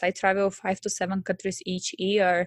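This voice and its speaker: With a Bulgarian accent, a woman speaks at a medium pitch and moderate pace in a dry, close sound with no echo over a quiet background. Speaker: business coach. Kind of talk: casual interview chat. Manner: enthusiastic.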